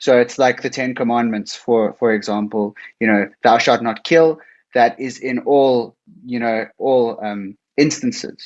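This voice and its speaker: Against a quiet background, a man of medium pitch speaks at a moderate pace with fairly even intonation. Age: 30s. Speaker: lecturer hosting student discussion. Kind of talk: casual discussion. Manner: halting.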